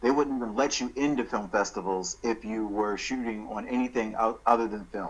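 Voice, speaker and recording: In a normal speaking voice, a man with an American accent talks at a fairly quick pace with hardly any pauses, his medium pitch held in fairly even intonation. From Baltimore, Maryland. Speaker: film writer and director. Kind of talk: interview answer.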